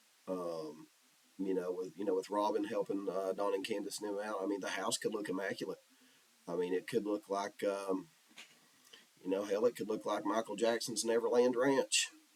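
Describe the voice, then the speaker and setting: Over noticeable background noise, a man talks at a moderate pace in a fairly low voice with ordinary pitch variation. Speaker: YouTube commentator. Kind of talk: casual vlog commentary. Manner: hesitant, many fillers.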